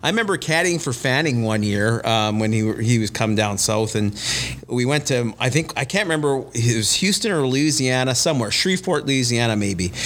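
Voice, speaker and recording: A man's fairly quick, lively delivery at very even loudness, with noticeable background noise. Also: medium pitch for a man. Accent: Canadian Prairies. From Winnipeg, Manitoba, Canada. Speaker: golf club director and golf pro. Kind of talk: casual chat.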